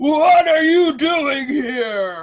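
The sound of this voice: A man performs a gruff, put-on character voice at an extremely high pitch.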